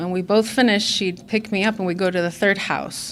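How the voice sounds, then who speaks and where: With fairly even intonation, a woman speaks at a medium pitch amid audible room echo. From Illinois suburbs, Mexican-American family. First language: Spanish. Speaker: recovery meeting speaker. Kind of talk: personal testimony talk. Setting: conference stage with audience. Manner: hesitant with frequent fillers.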